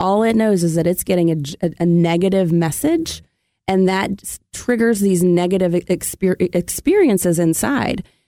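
A woman speaks at a moderate pace and medium pitch with ordinary pitch variation, in a normal speaking voice. Her loudness swings widely, and the sound is dry and close with no echo. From US South, Memphis, Tennessee. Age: 40s. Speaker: therapist and podcast co-host. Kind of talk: casual chat.

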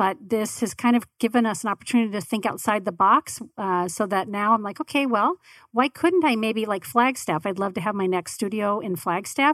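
In a very clean recording with a silent background and a dry, close sound with no echo, a woman with an ordinary speaking voice and an American accent talks at a fairly quick pace, her fairly high pitch showing ordinary pitch variation. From Arizona, Tempe. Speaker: podcast network owner. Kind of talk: casual interview.

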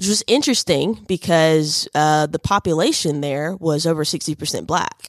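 With hardly any pauses, a woman with a Southern US accent speaks at a moderate pace in a very deep, low voice. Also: ordinary pitch variation, dry, close sound with no echo. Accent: Southern US (Georgia). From US South, northwest Georgia. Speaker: university diversity director. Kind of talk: radio interview. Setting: radio studio. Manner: hesitant, many fillers and repetitions.

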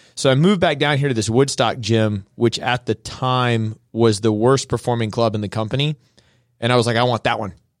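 A man with an unremarkable speaking voice at medium pitch, fairly quick, with ordinary pitch variation, on a very clean recording with a silent background and a dry, close sound with no echo. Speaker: gym owner and fitness coach. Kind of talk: radio interview. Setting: studio.

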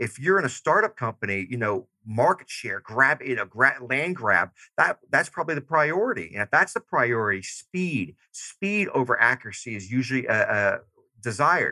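Bright and sharp in tone, a man with a Southern US accent and a medium pitch makes very wide pitch swings, heard dry and close with no echo. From US South, Georgia. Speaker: army veteran and leadership consultant. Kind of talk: interview. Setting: remote call. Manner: fast-paced; loud.

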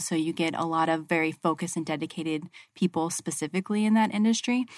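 With an American accent, a woman speaks at a very fast pace in a fairly low pitch, on a very clean recording with a silent background. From Arizona. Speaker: healthcare construction project manager. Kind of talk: radio interview.

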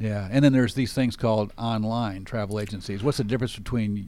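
This man talks fairly quickly with a fairly low pitch, a dark, mellow tone and fairly even intonation. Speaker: radio host. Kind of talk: interview for a business radio show.

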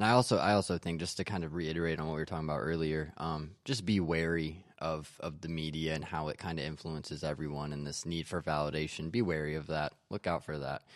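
Very deep and low, a man's voice moves at a very fast pace with fairly even intonation in a very clean recording with a silent background. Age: 20s. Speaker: podcaster. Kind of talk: casual chat. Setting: studio.

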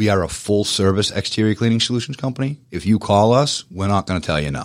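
A man with a Boston accent, fairly low in pitch, at a moderate pace with ordinary pitch variation, on a very clean recording with a silent background. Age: 40s. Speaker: power washing business owner. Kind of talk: radio interview. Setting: studio.

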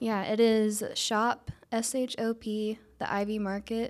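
A fairly high-pitched woman at a very slow pace. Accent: Georgia. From Northwest Georgia, near Ringgold. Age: young. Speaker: small business owner. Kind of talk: radio interview. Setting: studio.

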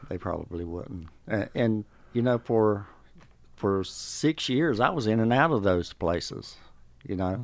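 With a Southern US accent, a man talks with lively intonation. His pace is fairly slow, with long, frequent pauses. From North Carolina. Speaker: program graduate, former addict. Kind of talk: testimony.

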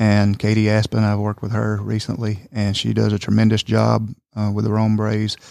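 A man with a Georgia accent speaks at a fairly quick pace. His pitch is fairly low and his intonation monotone and flat. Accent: US Southern (Georgia). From Northwest Georgia, Somerville. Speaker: manufacturing company public relations. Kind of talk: casual chat.

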